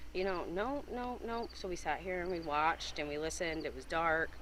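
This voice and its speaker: Vocal fry marks a voice with an American accent, heard with audible room echo. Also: woman. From upstate New York, Whitehall. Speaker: eyewitness. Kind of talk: interview.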